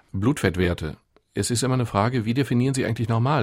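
Very fast and somewhat breathy, a man speaks at a medium pitch. The recording is very clean, with a silent background. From Ruhr area, Germany (near Gelsenkirchen). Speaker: doctor and author. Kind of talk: radio interview.

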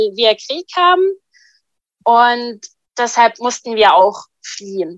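A woman with an Arabic accent speaks at a very slow pace in a fairly high pitch, with ordinary pitch variation. The sound is dry and close, with no echo. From Syria. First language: Arabic (speaking German). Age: 20s. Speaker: refugee and hospital volunteer. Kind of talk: personal testimony.

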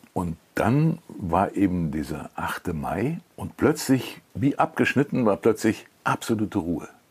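A man speaks very slowly with hardly any pauses, his voice somewhat breathy. His fairly low pitch swings very widely. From Cologne, Germany. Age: 80s+. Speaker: TV documentary author and narrator. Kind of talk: interview. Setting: at home.

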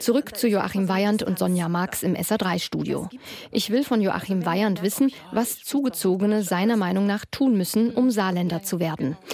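A woman speaks at a moderate pace and medium pitch, with ordinary pitch variation, very even loudness, and noticeable background noise. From Ruhr area, Essen. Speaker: radio reporter. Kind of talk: radio feature narration.

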